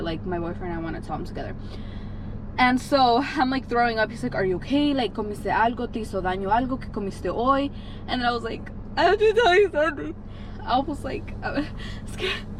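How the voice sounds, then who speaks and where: A woman's high voice, very fast and lively in intonation, with audible room echo and noticeable background noise. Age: 20s. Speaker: vlogger. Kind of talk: casual vlog storytelling. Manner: chatty, fast.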